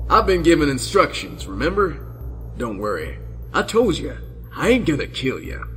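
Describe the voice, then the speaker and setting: A man puts on a drawling character voice at a moderate pace. Clear background noise runs beneath him. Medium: read story. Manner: heckling, patronizing, drawling slang.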